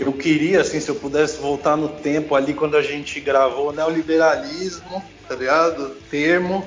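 With noticeable noise behind him, a man's fairly high voice keeps a moderate pace and fairly even intonation. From Porto Alegre, southern Brazil, then São Paulo from 15. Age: 40s. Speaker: punk/hardcore musician. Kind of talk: casual interview.

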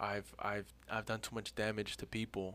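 This man has a fairly low pitch and a bright, sharp tone with vocal fry. He talks at a fairly slow pace. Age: 20s. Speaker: podcast host. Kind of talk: casual chat.

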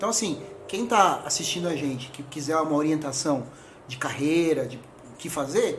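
Noticeable background noise and audible room echo surround a man whose fairly high voice moves at a moderate pace. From São Paulo, Brazil. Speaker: computer engineer. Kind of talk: podcast interview.

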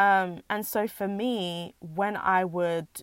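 A woman with a British accent speaks at a medium pitch in a dry, close recording with no echo, very clean and with a silent background. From England. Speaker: podcast host. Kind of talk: personal monologue. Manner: halting.

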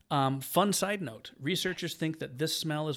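Heard in a very clean recording with a silent background, a man with a normal speaking voice talks at a moderate pace in a fairly high pitch with ordinary pitch variation. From Michigan, US. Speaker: podcast co-host. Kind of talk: casual chat. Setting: studio.

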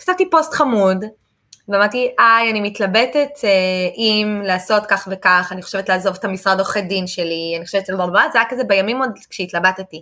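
The recording is very clean with a silent background. A woman at a medium pitch speaks at a moderate pace with ordinary pitch variation. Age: 30s. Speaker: English teacher and entrepreneur. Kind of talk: casual interview. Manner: animated.

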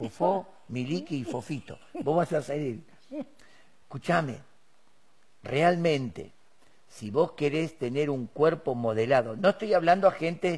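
A man speaks at a fairly slow pace, leaving long, frequent pauses. His fairly high, somewhat breathy voice has lively intonation. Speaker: preacher. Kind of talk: sermon.

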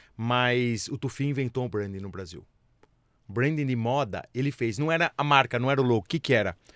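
With a plain, everyday voice, a man talks at a fairly quick pace, medium pitch, and ordinary pitch variation on a very clean recording with a silent background. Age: 50s. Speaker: business executive and entrepreneur. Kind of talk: interview.

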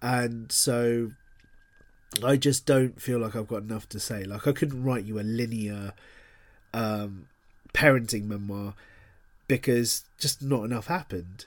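A man with a London accent at a fairly slow pace and medium pitch, with long, frequent pauses and ordinary pitch variation, on a very clean recording with a silent background. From London, England. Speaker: author. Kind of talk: interview. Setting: podcast interview. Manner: casual, filler-heavy.

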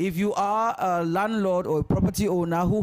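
Noticeable background noise runs underneath. The speech moves at a moderate pace. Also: man. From Ghana. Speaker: LGBTQ activist. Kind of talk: live panel discussion.

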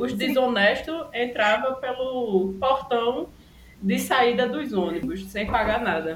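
Noticeable background noise and audible room echo surround this speaker. A woman talks at a high pitch with lively intonation. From Brazil, Recife (Pernambuco). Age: 20s. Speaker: photographer and podcast co-host. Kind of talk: casual chat.

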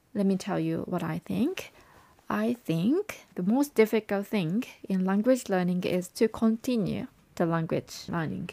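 At a fairly slow pace, a woman with a dark, mellow tone and medium pitch speaks with lively intonation, recorded very cleanly against a silent background with dry, close sound and no echo. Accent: Japanese. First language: Japanese. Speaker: language learning advisor and English coach. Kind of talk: podcast monologue.

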